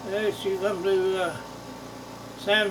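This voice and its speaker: Monotone, flat intonation in an American accent comes through with audible room echo and noticeable background noise. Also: man. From US Midwest (southern Missouri Ozarks). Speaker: longtime resident, interviewee. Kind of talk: oral history interview. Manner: halting, with many fillers.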